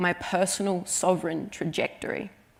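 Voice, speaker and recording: A woman with an Australian accent speaks at a moderate pace in a fairly low, flat, monotone voice. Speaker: writer. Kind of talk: conference talk.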